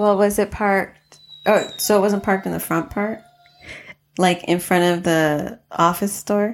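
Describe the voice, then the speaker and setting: A woman with a General American accent speaks at a fairly slow pace, with medium pitch and fairly even intonation. It is a plain, everyday voice. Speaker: podcast host. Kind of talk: casual chat.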